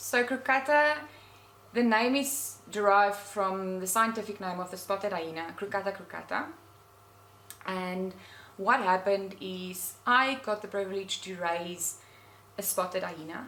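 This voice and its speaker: A woman with a South African accent at a medium pitch, ordinary pitch variation, a fairly slow pace and long, frequent pauses. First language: Afrikaans. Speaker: nature blogger. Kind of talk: interview. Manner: halting.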